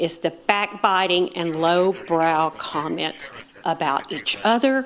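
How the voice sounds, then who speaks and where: A woman's fairly low voice with an American accent and lively intonation, at a very slow pace, over noticeable background noise. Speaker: public commenter at city council. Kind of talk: public comment. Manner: loud.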